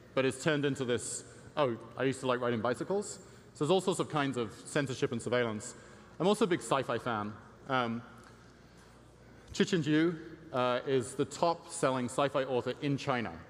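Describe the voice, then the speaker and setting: This speaker has an English accent and talks at a fairly quick pace with ordinary pitch variation. Long pauses come often. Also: man, medium pitch for a man. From England. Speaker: tech company CEO and conference speaker. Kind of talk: conference presentation. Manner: frequent fillers (um, uh).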